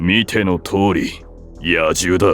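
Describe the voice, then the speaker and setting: A raspy, cartoonish character voice moves at a very slow pace as clear music plays in the background. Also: man. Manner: cold, gruff, curt.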